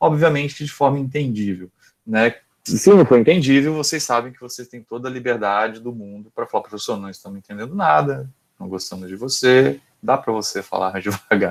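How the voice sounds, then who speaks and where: Lively intonation in a man's medium-pitched speech. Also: big swings in loudness. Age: 30s. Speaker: university lecturer. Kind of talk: lecture. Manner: fast; halting.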